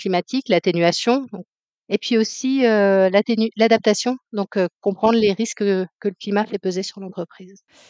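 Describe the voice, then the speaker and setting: Moderate-paced speech with fairly even intonation, a dry, close sound with no echo, and a quiet background. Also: woman. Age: 40s. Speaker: climate consultant. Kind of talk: interview. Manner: hesitant, many fillers.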